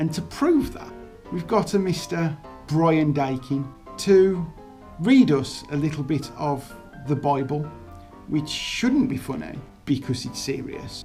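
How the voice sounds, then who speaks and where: Over music in the background, a woman speaks in a very deep, low pitch at a fairly slow pace with lively intonation, big swings in loudness and long, frequent pauses. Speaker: presenter introducing a comedy segment.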